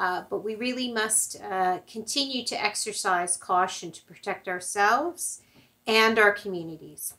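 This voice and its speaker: A woman with a bright, sharp tone at medium pitch, ordinary pitch variation, big swings in loudness and a fairly slow pace. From Canada. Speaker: church service leader. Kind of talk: poem reading aloud in a church service. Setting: online church service video. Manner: halting with filler words in the announcements. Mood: calm, gentle. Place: home room. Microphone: camera far.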